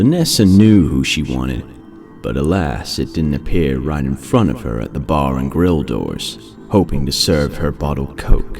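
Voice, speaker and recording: Over music in the background, a man talks at a fairly slow pace in a very deep, low pitch. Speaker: voice-over narrator. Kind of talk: horror story narration.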